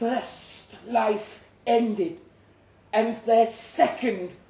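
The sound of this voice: The reading voice is unforced, with fairly even intonation.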